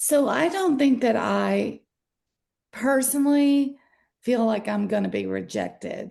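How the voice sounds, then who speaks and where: A woman speaks with a Southern US accent. The background is quiet. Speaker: workshop participant. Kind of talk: group discussion sharing.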